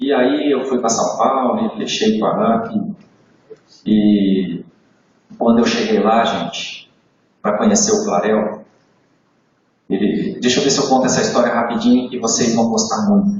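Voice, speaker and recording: A man speaks fairly slowly, with long, frequent pauses and very wide pitch swings. Room echo is audible. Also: medium pitch for a man. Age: 60s. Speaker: motivational sales trainer. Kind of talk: training talk to live audience. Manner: animated storytelling.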